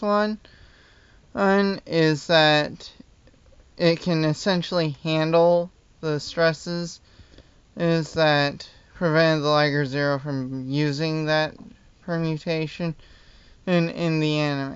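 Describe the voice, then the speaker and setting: A man at a very slow pace, fairly even intonation, and long, frequent pauses. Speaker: hobbyist model designer. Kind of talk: casual talk to camera. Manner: stuttering, hesitant. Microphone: phone near.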